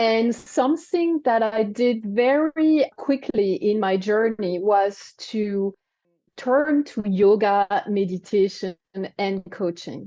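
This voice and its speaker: A woman with a French accent speaks at a very slow pace. Her fairly high voice carries lively intonation. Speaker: wellness coach and cancer survivor. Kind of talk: interview. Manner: halting.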